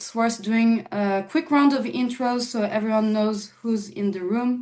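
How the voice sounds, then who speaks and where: A woman talks with a French accent and a fairly high pitch. Her pitch varies in an ordinary way. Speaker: panel moderator, digital marketing strategist. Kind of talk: panel moderation.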